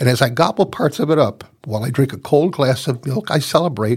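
On a very clean recording with a silent background, a somewhat breathy man with a medium pitch talks at a moderate pace with lively intonation. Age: 70s. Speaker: podcast host, senior magazine columnist. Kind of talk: scripted narration.

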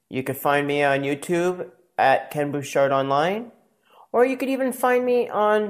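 A man talks at a fairly slow pace with very wide pitch swings in a very clean recording with a silent background. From US Northeast (Maine, then Pennsylvania). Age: 40s. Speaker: podcast host. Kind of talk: personal monologue.

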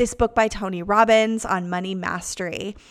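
Her pitch moves in an ordinary way. The woman speaks with an American accent. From United States. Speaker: podcast host and pastor. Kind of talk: casual monologue.

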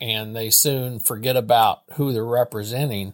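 The recording is very clean and silent, with a dry, close sound and no echo. A man with a Midwestern American accent speaks at a medium pitch with fairly even intonation. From Missouri, St. Joseph. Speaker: state legislator. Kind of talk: interview. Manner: halting.

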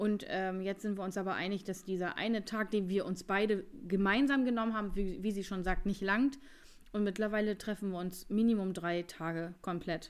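The recording is very clean, with a silent background. A woman with an ordinary speaking voice talks at a medium pitch with fairly even intonation. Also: moderate pace. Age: 30s. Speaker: nail designer and beauty studio owner. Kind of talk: casual chat.

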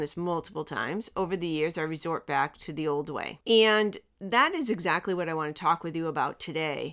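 A woman speaks in a plain, everyday voice at a fairly low pitch with ordinary pitch variation. The recording is very clean, with a silent background. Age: 50s. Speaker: podcast host and life coach. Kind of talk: motivational monologue.

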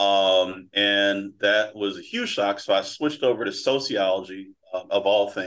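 In an American accent, a man speaks fairly slowly with a fairly low pitch and hardly any pauses. He has an unremarkable speaking voice and fairly even intonation. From Philadelphia, US. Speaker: prop trading firm owner and trading coach. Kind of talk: interview, casual storytelling.

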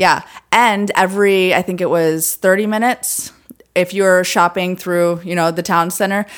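In a normal speaking voice, the words come at a fairly slow pace. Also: woman. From Florida (moved from Detroit at ten). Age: 30s. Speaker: realtor. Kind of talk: casual interview. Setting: podcast studio.

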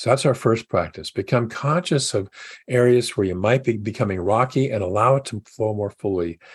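Somewhat breathy, a man speaks at a medium pitch and a moderate pace with ordinary pitch variation. The sound is dry and close with no echo, over a quiet background. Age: 70s. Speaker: minister. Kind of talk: sermon.

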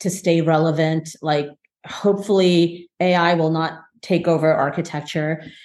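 With an American accent and a plain, everyday voice, a woman speaks at a fairly low pitch and a fairly slow pace. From New Jersey. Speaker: architect. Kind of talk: casual chat.

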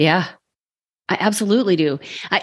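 An unremarkable speaking voice at a fairly quick pace over a quiet background. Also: woman. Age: 40s. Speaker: podcast host and wellness coach. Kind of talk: scripted intro and outro; casual interview chat.

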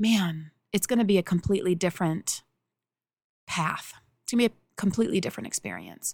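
Heard in a dry, close sound with no echo, a woman speaks in a somewhat breathy voice with big swings in loudness, ordinary pitch variation, and long, frequent pauses. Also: medium pitch for a woman, fairly quick pace. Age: 40s. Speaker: spiritual coach and podcast host. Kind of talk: solo monologue.

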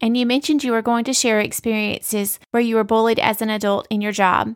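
On a very clean recording with a silent background, a woman with a plain, everyday voice talks at a fairly quick pace, with a fairly high pitch and fairly even intonation. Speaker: podcast co-host. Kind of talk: interview-style podcast conversation.

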